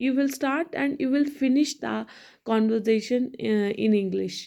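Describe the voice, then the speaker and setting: In an Indian accent, a woman speaks at a fairly slow pace with a high pitch and a dark, mellow tone. The recording is very clean, with a silent background. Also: ordinary pitch variation. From India, Hindi-speaking. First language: Hindi. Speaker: English learning vlogger. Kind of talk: motivational talk to camera. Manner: halting, many fillers and restarts.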